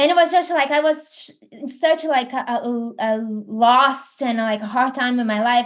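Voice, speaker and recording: A high-pitched woman's voice in a Brazilian accent, at a moderate pace with ordinary pitch variation. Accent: Brazilian, non-native English. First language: Portuguese. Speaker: affiliate marketing entrepreneur. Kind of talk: podcast interview. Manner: hesitant, many fillers.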